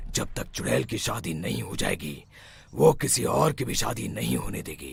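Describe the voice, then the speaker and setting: A man's cartoonish character voice, raspy and very deep, with very wide pitch swings at a moderate pace. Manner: authoritative.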